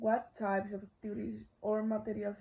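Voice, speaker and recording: A woman speaks with a Spanish accent. She talks at a fairly slow pace. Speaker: university student. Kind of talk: class assignment video, answering questions. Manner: halting, self-correcting.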